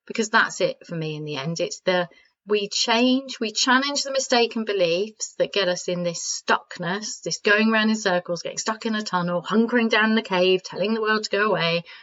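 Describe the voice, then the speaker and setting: With hardly any pauses, a woman talks at a fairly quick pace in a fairly high pitch. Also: ordinary pitch variation. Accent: British. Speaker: podcast host and coach. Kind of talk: self-help podcast talk. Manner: soft-spoken, calm.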